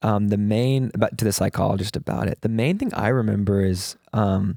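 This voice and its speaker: A man with a Texan accent speaks at a moderate pace in a fairly low voice with a dark, mellow tone, recorded dry and close with no echo on a very clean recording with a silent background. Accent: Texan American. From US South, Texas (Houston). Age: 20s. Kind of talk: interview. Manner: casual, conversational.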